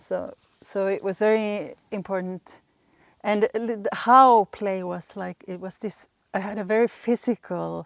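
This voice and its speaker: Loudness swings widely in this speech with a Swedish accent, recorded very cleanly against a silent background with a dry, close sound and no echo. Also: woman, medium pitch for a woman. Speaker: ritual play practitioner. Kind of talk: interview. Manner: halting.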